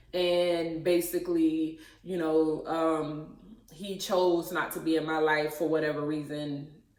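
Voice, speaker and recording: Speaking at a fairly slow pace in a very deep, low voice, a woman keeps a monotone, flat intonation while audible room echo surrounds her. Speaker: YouTuber. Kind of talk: personal testimony. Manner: hesitant, many fillers.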